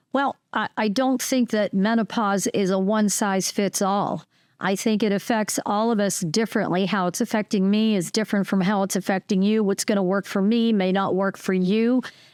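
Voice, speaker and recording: A plain, everyday voice with fairly even intonation, very even loudness and hardly any pauses, dry and close with no echo, on a very clean recording with a silent background. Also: woman, medium pitch for a woman, moderate pace. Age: 50s. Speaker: podcast host. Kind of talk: casual chat.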